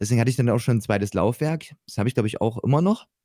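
A man speaks at medium pitch with ordinary pitch variation and a dark, mellow tone. The sound is dry and close, with no echo. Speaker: Twitch streamer and rock musician. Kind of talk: casual chat.

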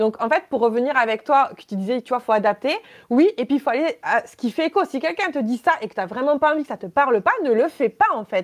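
Recorded dry and close with no echo, a woman speaks very fast at a high pitch, her voice swinging very widely up and down. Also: big swings in loudness, very clean recording, silent background. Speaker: lithotherapist and entrepreneur. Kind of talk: casual interview, personal testimony. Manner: hesitant, many fillers.

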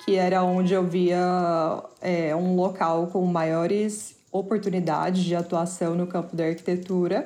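A dark, mellow tone carries this fairly slow delivery. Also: woman. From Brazil. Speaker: artist. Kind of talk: interview.

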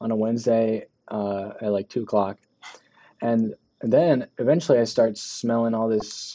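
A man talks at a moderate pace in a normal speaking voice. His pitch is medium. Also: fairly even intonation. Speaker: podcast co-host. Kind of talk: casual chat. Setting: basement room. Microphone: muffled by face mask.

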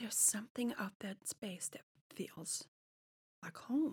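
Somewhat breathy and fairly high in pitch, a woman with a German accent speaks at a fairly slow pace with ordinary pitch variation, the sound dry and close with no echo. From Germany (Munich). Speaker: real estate advisor. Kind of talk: casual chat. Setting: studio.

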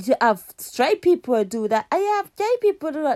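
With big pitch swings and a slightly mellow tone, a woman speaks at a moderate pace.

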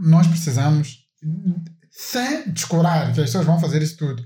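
This man's pitch sits fairly high. His voice has a dark, mellow tone. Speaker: podcast co-host. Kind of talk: casual chat.

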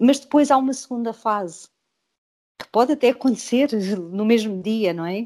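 The tone is dark and mellow, with big swings in loudness and ordinary pitch variation. Delivery runs at a moderate pace, broken by long, frequent pauses. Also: woman. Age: 50s. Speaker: author and self-help group facilitator. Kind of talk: interview. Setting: video call.

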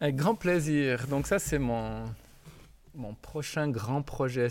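Speaking at a very slow pace, a man is heard in a very clean recording with a silent background. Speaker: physical education teacher. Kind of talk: interview. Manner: halting, with repetitions.

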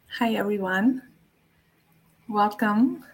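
A woman speaks with fairly even intonation at a fairly high pitch. Her voice is somewhat breathy. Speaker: Ayurvedic practitioner and spiritual teacher. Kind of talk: solo podcast talk. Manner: hesitant, many fillers.

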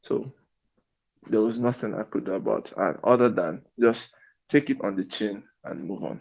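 A man with a fairly low pitch and vocal fry, lively intonation, and a moderate pace. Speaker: immigrant sharing migration advice. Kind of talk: casual interview.

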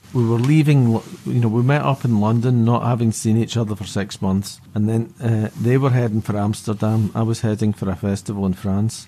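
A man speaks at a medium pitch with ordinary pitch variation and a dark, mellow tone. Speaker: musician. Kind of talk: casual interview chat.

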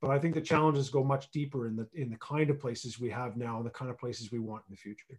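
Very fast and with hardly any pauses, a man speaks in a somewhat breathy voice. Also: medium pitch for a man. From Canada. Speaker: regional economic development executive and planner. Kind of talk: radio interview. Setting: remote call from home region. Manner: animated.

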